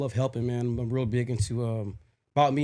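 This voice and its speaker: A man with an American accent, medium pitch, a fairly quick pace, a dark, mellow tone and flat, monotone intonation. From Las Vegas, Nevada. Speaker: podcast co-host. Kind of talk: casual chat.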